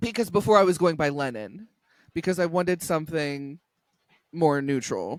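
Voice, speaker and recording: Speaking at a moderate pace, a man with a fairly high pitch uses lively intonation and long, frequent pauses. The recording is very clean, with a silent background. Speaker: podcast guest sharing gender identity story. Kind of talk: casual chat.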